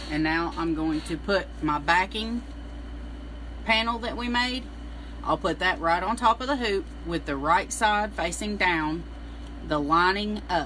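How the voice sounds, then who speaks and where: The speaker has a Southern US accent and a fairly slow pace, with long, frequent pauses. Noticeable background noise can be heard. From US South, Middle Tennessee. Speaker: embroidery instructor. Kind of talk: live-stream tutorial. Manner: casual, chatty.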